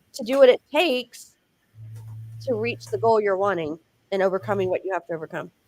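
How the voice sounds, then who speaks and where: A fairly quick-paced woman with a Texan accent. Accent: Texan Southern US. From Texas. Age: 40s. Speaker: faith-based author and speaker. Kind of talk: interview. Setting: live show with chat. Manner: fast.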